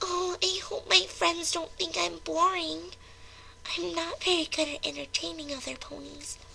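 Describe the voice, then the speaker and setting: At a moderate pace, a woman performs a put-on character voice over clear background noise. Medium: read story. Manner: soft, hesitant, self-doubting.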